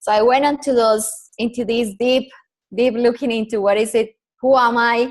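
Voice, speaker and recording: A woman with a Colombian accent, fairly high in pitch, flat and monotone, at a moderate pace. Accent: Colombian Spanish accent, noticeable. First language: Spanish. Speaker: personal branding consultant. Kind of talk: podcast interview.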